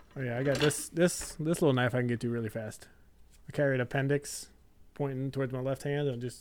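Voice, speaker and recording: A man with a medium pitch rattles along at a very fast pace in fairly even intonation. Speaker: podcast co-host. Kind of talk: casual chat. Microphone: new microphone.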